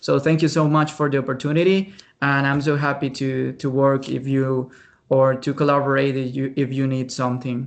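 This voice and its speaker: Over a quiet background, a man with a Spanish accent speaks at a fairly high pitch in monotone, flat intonation. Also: moderate pace. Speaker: researcher presenter. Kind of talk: webinar Q&A. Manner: halting.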